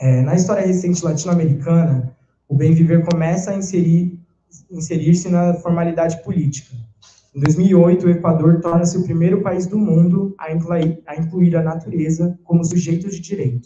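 With audible room echo, a man speaks at a high pitch and a moderate pace, his intonation fairly even. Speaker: philosophy undergraduate presenter; presenter. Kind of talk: academic presentation. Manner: reading aloud. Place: classroom. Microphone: handheld.

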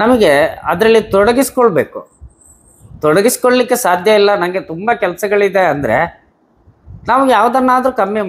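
A high-pitched male voice with ordinary pitch variation and very even loudness. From Karnataka, Dakshina Kannada (Bilinele); Karnataka, India. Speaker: visually impaired business owner. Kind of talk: interview. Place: home room. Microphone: lapel.

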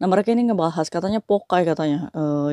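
A woman's dark, mellow tone, dry with no echo, over a quiet background. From Indonesia. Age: 40s. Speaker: migrant domestic worker vlogger. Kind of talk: casual vlog monologue. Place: home room. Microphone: lapel.

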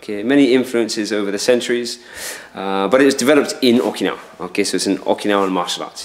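A man races along at a very fast pace, his pitch varying in an ordinary way. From southern England, Dorset; southern England. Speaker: karate instructor. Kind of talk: interview. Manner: hesitant, many fillers.

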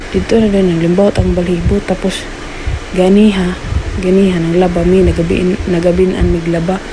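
A woman at medium pitch speaks in a flat monotone with very even loudness, with audible room echo and noticeable background noise. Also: moderate pace. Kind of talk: vlog.

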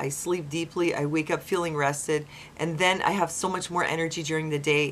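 Her pitch is very deep and low for a woman. She keeps a moderate pace and fairly even intonation. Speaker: vlogger. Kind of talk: casual vlog chat. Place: home room. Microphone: webcam.

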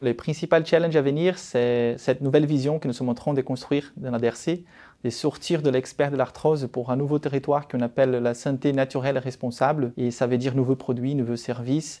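Against a quiet background, a dark, mellow tone carries fairly even intonation with a slight Brazilian accent. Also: man, medium pitch for a man, fairly quick pace. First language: Portuguese (speaking French). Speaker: marketing director. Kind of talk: corporate self-presentation. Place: office. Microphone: lapel.

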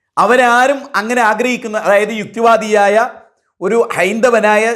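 Audible room echo surrounds the speaker. He is a man with a high pitch. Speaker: Islamic preacher. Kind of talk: sermon. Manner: shifts between emotional and calm.

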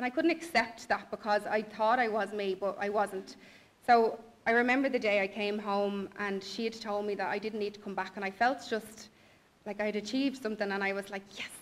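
A woman speaks in a Dublin accent at a fairly quick pace. Her pitch is fairly high, and her intonation fairly even. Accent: Dublin Irish. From Ireland, Dublin. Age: 20s. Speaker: blogger. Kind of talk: personal testimony. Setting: stage with audience. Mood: reflective, candid. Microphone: podium.

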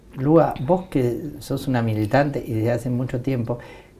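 The man's somewhat breathy voice has a dark, mellow tone at a medium pitch, with ordinary pitch variation and a fairly slow pace. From Argentina. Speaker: TV show host. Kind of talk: interview. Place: studio. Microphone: lapel.

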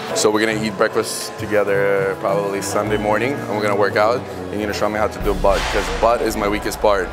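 Clear music plays behind a man who talks at a very fast pace with hardly any pauses. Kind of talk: casual prank banter. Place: gym.

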